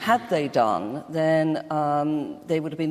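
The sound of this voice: A woman's low-pitched voice with a slightly mellow tone.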